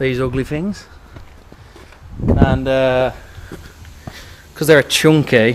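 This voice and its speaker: A man talks very slowly while noticeable background noise carries on behind him. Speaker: car enthusiast. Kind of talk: casual vlog. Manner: casual, rambling.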